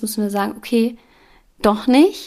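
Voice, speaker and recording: Recorded very cleanly against a silent background, a woman with a plain, everyday voice and a fairly high pitch speaks at a moderate pace. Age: 30s. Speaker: yoga teacher and podcast host. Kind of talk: personal testimony monologue.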